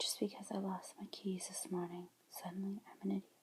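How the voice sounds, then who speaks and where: Somewhat breathy, a woman speaks in a dark, mellow tone with fairly even intonation. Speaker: ASMR creator. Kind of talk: book reading, ASMR. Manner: whispered, soft-spoken.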